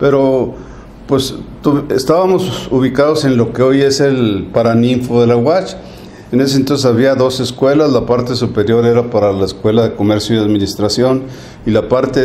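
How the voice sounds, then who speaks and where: A man with a northern Mexican accent talks at a moderate pace and medium pitch, with ordinary pitch variation and very even loudness. The recording carries audible room echo and noticeable background noise. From northern Mexico, Chihuahua. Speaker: retired accountant and university alumnus. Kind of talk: interview.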